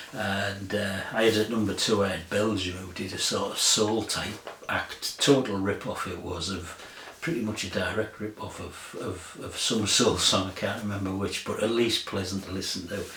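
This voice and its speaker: A man speaks at a moderate pace with hardly any pauses, his pitch fairly low and his intonation fairly even. Noticeable background noise and audible room echo fill the recording. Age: 60s. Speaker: music vlogger. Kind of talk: casual chat. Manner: rambling, hesitant with fillers.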